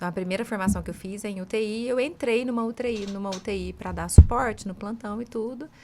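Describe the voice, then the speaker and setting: Speaking at a very fast pace, a woman uses a fairly high pitch and a dark, mellow tone. Her loudness swings a lot. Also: fairly even intonation, hardly any pauses. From Brazil, southern Minas Gerais (Alfenas). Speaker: business leader, former nurse manager. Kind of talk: podcast interview, anecdote.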